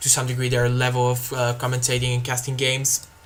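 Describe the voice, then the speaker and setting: Over noticeable background noise, a man with a Bulgarian accent speaks at a fairly quick pace in a monotone, flat intonation at medium pitch. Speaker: video game commentator. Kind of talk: live game commentary. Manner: hesitant, many fillers.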